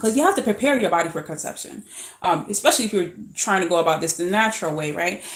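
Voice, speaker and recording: A woman at medium pitch speaks in an animated tone. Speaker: fertility coach. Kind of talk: informal talk-to-camera lecture. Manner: fast; animated, repetitive fillers.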